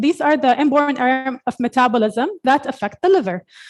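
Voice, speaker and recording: A woman's high voice with lively intonation, in a dry, close sound with no echo. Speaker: pediatric hepatologist. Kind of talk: conference lecture. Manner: fast.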